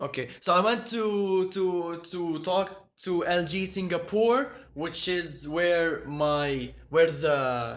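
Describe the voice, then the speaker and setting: A man's high-pitched voice with an Arabic accent and audible room echo. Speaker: tech YouTuber. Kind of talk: live stream chat. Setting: at home, apartment. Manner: halting, many repetitions.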